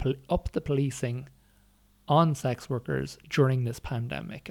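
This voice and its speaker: Here a man speaks with an Irish accent at a medium pitch. The recording is very clean and the background silent. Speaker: academic and former sex worker. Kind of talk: interview. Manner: halting.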